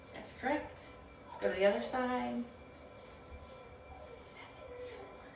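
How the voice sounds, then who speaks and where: A woman talks at a fairly slow pace with long, frequent pauses and big swings in loudness. Music plays in the background, and the room echo is audible. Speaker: nurse practitioner. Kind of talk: clinical exam demonstration. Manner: hesitant, many fillers; whispering letters and numbers.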